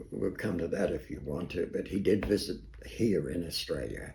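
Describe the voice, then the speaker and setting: A man with a very deep, low pitch and a dark, mellow tone speaks fairly slowly with lively intonation and vocal fry. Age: 80s+. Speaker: psychologist. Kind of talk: interview answer. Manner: hesitant, halting.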